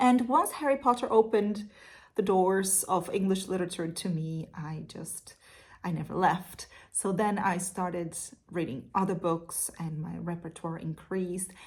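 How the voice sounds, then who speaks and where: A woman speaks at a moderate pace with a Portuguese accent. Her voice is somewhat breathy, with big swings in loudness. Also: medium pitch for a woman, ordinary pitch variation. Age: 30s. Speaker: literature teacher. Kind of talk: casual Q&A monologue. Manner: hesitant with fillers.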